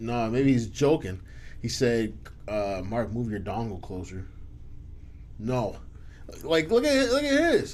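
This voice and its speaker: A man at a fairly slow pace with long, frequent pauses, in a room with audible echo. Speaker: podcast host. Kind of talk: casual chat. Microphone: too quiet, far from mic.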